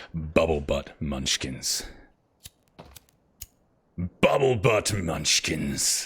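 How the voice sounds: A man puts on a raspy character voice, very deep and low, in a serious, deadpan tone with lively intonation. He speaks very slowly with long, frequent pauses.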